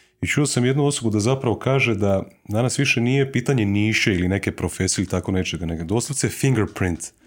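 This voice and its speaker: A man with a fairly low pitch at a very fast pace, in a very clean recording with a silent background. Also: ordinary pitch variation. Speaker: podcast host. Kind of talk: casual interview chat. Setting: studio.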